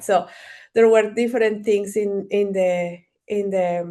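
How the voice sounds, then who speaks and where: Against a quiet background, a woman speaks with a Spanish accent at a very slow pace. Her pitch is medium and her intonation fairly even. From Ecuador. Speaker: marketing strategist and entrepreneur. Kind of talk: interview. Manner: halting, many fillers and repeats.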